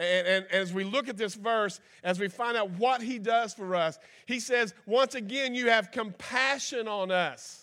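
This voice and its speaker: A man's raised, projected voice, high-pitched with a bright, sharp tone and animated, comes at a fairly slow pace on a very clean recording with a silent background. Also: ordinary pitch variation. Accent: Kentucky. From Kentucky. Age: 50s. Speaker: guest preacher. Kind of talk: folksy Pentecostal-style sermon, conversational with scripture and personal stories. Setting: church service with congregation, streamed live. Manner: animated, folksy country-preacher delivery with repetitions and asides.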